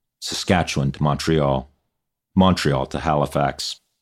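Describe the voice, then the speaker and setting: Vocal fry runs through a man's very deep, low voice as he speaks at a fairly slow pace. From Newfoundland, Canada (Chinese immigrant family). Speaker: venture investor. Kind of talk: scripted narration.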